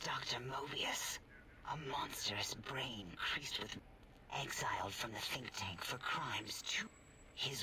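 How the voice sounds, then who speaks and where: A man whispers in a put-on character voice at a fairly slow pace. He leaves long, frequent pauses. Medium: video game. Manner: hesitant, fussy.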